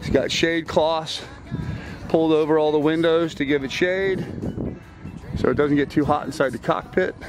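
A man at a moderate pace with fairly even intonation, dry sound with no echo, and noticeable background noise. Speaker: sailing vlogger. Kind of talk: casual vlog chat. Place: boat. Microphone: phone near.

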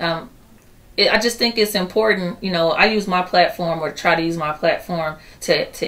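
A woman speaks at a moderate pace, her pitch fairly low with ordinary variation. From Chicago inner city. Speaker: poet and singer; poet. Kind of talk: interview. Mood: earnest, calm. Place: office.

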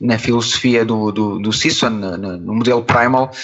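This man speaks with a European Portuguese accent. His pace is moderate. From Portugal. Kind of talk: interview answer.

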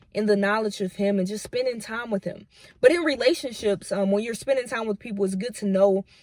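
A woman with ordinary pitch variation, in dry sound with no echo and a quiet background. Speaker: devotional vlogger. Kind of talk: devotional teaching, casual vlog chat. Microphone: phone near.

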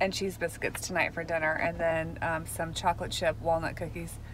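A woman speaks in a dry sound with no echo. Light background noise sits behind her. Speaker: family vlogger. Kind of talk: casual vlog chat. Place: car. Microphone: phone near.

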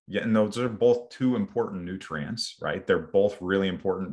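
Over a quiet background, a man speaks. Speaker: bone health coach. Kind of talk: interview conversation. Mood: earnest, personal. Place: home room. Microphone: video call.

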